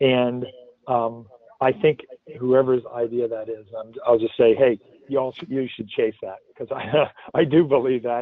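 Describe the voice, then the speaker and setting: Speaking with an American accent, a man talks at a fairly slow pace with long, frequent pauses, a medium pitch, fairly even intonation and big swings in loudness. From North America (US). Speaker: blockchain business consultant. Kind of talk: webinar Q&A. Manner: halting, many fillers.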